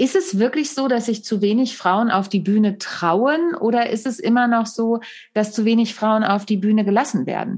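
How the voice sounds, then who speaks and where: Speaking at a moderate pace, a woman uses a normal speaking voice, fairly high in pitch with ordinary variation. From Germany. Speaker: podcast host and comedian. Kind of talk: casual interview.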